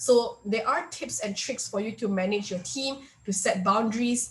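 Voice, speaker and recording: Noticeable background noise runs under a woman's medium-pitched voice, which shows ordinary pitch variation. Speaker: workshop speaker. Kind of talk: online workshop presentation. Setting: video call. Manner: fast; hesitant, many fillers.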